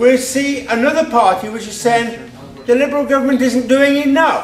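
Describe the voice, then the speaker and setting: A man's extremely high voice at a moderate pace, fairly even in intonation but with big swings in loudness, over noticeable background noise. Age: 70s. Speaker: audience member asking a question. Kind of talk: public question at debate.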